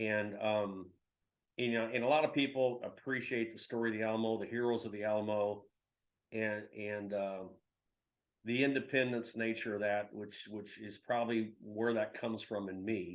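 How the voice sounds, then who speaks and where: With a Texan accent, a man speaks in a monotone, flat way at medium pitch and a moderate pace. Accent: Texan American English. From Texas, San Antonio. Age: 60s. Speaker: publisher. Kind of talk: interview. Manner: halting, many fillers.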